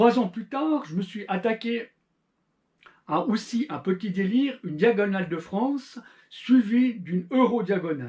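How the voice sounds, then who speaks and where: With a Swiss accent, a man with a high voice talks at a fairly slow pace, using long, frequent pauses and lively intonation. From Switzerland. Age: 40s. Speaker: amateur endurance cyclist, YouTuber. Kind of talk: channel introduction monologue.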